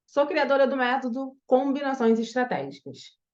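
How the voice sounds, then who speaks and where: A woman in a strong Carioca accent, moderate pace, quiet background. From Brazil, Rio de Janeiro. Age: 40s. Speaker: image and style consultant. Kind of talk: online masterclass. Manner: casual, hesitant with fillers.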